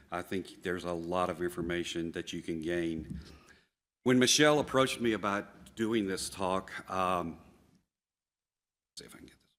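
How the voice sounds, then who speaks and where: A man with a Southern US accent and a very deep, low pitch, at a moderate pace with ordinary pitch variation, big swings in loudness, and long, frequent pauses. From US South. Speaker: plant tissue culture scientist. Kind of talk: conference talk. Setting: stage with audience.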